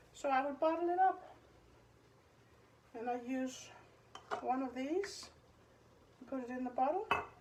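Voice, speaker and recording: A woman's high voice in a non-native accent, ordinary pitch variation, big swings in loudness, and long, frequent pauses. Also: moderate pace. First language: Danish. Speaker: home cooking youtuber. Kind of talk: tutorial. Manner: casual, halting.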